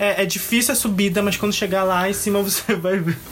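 This man's voice sits high in pitch, with noticeable noise in the background. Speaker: podcast co-host. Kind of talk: casual chat.

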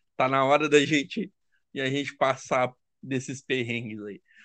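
A man with an unremarkable speaking voice and medium pitch talks at a fairly slow pace over a quiet background. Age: 20s. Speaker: football fan. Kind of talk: casual chat.

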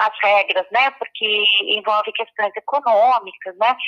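A woman talks somewhat slowly, her fairly high voice rising and falling in an ordinary way. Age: 50s. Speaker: public health expert. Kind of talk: interview. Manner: hesitant, many fillers.

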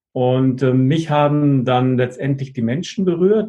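A man speaks at a medium pitch with a somewhat breathy quality. His pitch rises and falls in an ordinary way. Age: 50s. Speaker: network marketing partner. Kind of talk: casual interview.

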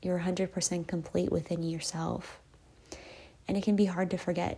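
In a somewhat breathy voice with a dark, mellow tone, a woman with a fairly low pitch speaks with monotone, flat intonation. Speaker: podcast host, manifesting coach. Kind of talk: solo podcast monologue, guided self-help talk. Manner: calm, gentle, reassuring.

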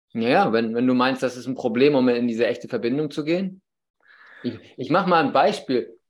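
A man moves at a fairly quick pace in an ordinary speaking voice, at a medium pitch with ordinary pitch variation. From northern Germany, Baltic coast. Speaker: podcast host, father. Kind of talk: casual interview chat.

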